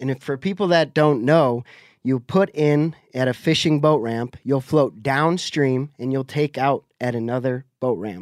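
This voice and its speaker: Speaking with an unremarkable speaking voice, a man talks fairly slowly at a medium pitch with ordinary pitch variation on a very clean, dry, close recording with a silent background and no echo. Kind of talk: casual chat.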